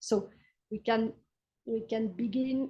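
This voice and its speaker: A woman with a French accent has a dark, mellow tone. She speaks at a fairly slow pace with monotone, flat intonation. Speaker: history professor. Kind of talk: lecture. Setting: video call. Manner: halting.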